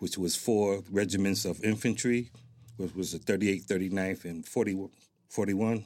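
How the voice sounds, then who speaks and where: A man with an American accent speaks in a normal speaking voice at a fairly low pitch, with fairly even intonation and a moderate pace. The recording is very clean, with a silent background. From Newark, New Jersey. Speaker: military retiree, heritage group president. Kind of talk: interview. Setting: studio.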